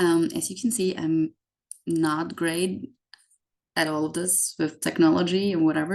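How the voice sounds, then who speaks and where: A woman at a fairly low pitch and moderate pace, with a German accent. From Austria. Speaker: YouTuber explaining US systems to immigrants. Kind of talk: informal explainer video. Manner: frequent filler words (um, like).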